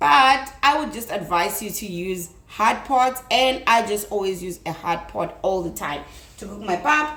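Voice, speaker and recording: A woman with a South African accent at a medium pitch, fairly slow pace, lively intonation and big swings in loudness, with audible room echo and noticeable background noise. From South Africa, Limpopo. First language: Tsonga. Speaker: cooking youtuber. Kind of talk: cooking tutorial. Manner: casual, chatty.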